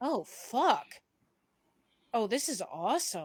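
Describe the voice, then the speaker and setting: A put-on character voice with a fairly high pitch and very wide pitch swings. The tone is excited, and the pace is fairly slow. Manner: excited, awed.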